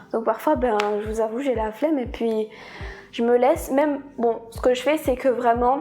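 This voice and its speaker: At a moderate pace, a woman with a high pitch speaks with fairly even intonation. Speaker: vlogger. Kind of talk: personal confession vlog. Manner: hesitant, repeats words.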